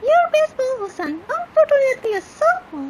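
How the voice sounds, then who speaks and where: In a cartoonish character voice, a woman speaks squeakily at a fairly quick pace, extremely high in pitch with very wide pitch swings. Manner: chirpy, flirtatious.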